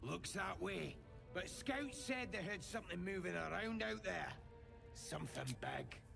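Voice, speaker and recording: Loud music plays behind a man doing a put-on character voice at a moderate pace. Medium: machinima. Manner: crude, ungrammatical.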